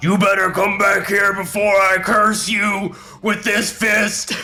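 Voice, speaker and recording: With clear music in the background, a raspy put-on character voice speaks at a fairly slow pace in a monotone, flat intonation. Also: man, high pitch for a man. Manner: threatening, shouting.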